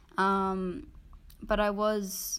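A woman with an Australian accent. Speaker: podcast co-host. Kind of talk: casual discussion.

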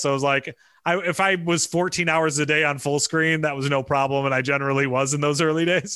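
On a very clean recording with a silent background, a man with a Midwestern US accent speaks at a moderate pace in a bright, sharp tone, with a fairly high pitch and fairly even intonation. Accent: US Midwest. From Michigan. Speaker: media executive. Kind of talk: casual interview.

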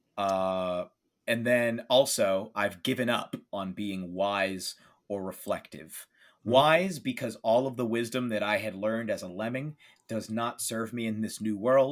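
A man speaks at a fairly slow pace in a medium pitch with ordinary pitch variation, recorded very cleanly against a silent background. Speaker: podcaster and game guest player. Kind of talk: casual chat, roleplaying game play. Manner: hesitant, filler-heavy.

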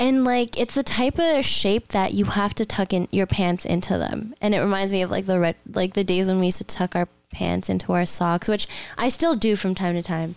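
In a very clean recording with a silent background, a woman with a Canadian accent talks at a moderate pace in an unremarkable speaking voice, medium in pitch, with ordinary pitch variation and very even loudness. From Canada, Mississauga (Toronto area). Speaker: podcast co-host. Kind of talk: casual chat.

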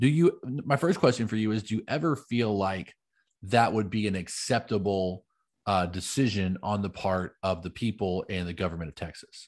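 A man with a fairly low pitch and an ordinary speaking voice, at a moderate pace against a quiet background. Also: ordinary pitch variation. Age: 30s. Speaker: podcast co-host, preacher. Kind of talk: casual chat.

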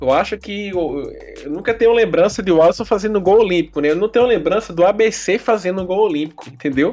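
This man talks at a fairly quick pace with a high pitch and ordinary pitch variation. Music plays in the background. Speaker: football podcast co-host. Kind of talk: casual chat.

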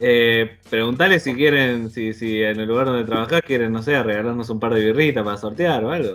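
A man speaks at a fairly quick pace in a Rioplatense accent, with hardly any pauses. His pitch sits in the medium range and varies in an ordinary way. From Buenos Aires suburbs, Argentina. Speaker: podcast host. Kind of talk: casual chat.

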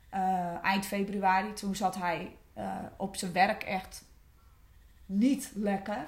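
A woman speaks very slowly at medium pitch, her somewhat breathy voice fairly even in intonation, with audible room echo. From West-Friesland, Netherlands. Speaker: former coaching client. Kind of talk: personal testimony. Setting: studio.

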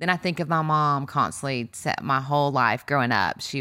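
On a very clean recording with a silent background, a woman with a very deep, low pitch and a bright, sharp tone speaks at a moderate pace with ordinary pitch variation. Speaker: co-host, pastor's wife. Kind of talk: casual conversational faith talk.

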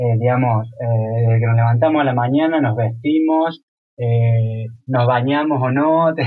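The speaker has an unremarkable speaking voice with ordinary pitch variation. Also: man. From Córdoba, Argentina. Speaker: visual artist. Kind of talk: casual interview.

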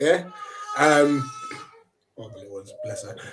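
Speaking fairly slowly in a London accent, a man's voice sits at a fairly high pitch. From London (Brixton), England. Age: 30s. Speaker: football fan channel host. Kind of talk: casual chat.

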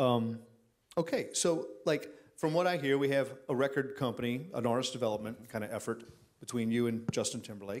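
With a normal speaking voice, a man talks at a fairly quick pace, medium in pitch and with ordinary pitch variation. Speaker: songwriter and songwriting instructor. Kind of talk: casual interview. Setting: stage with audience.

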